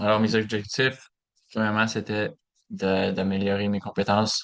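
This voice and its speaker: At a fairly slow pace, the voice stays monotone and flat over a quiet background. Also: man. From Alberta, Canada (small francophone village near Saint-Paul). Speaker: education student. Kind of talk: class presentation. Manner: halting, many fillers.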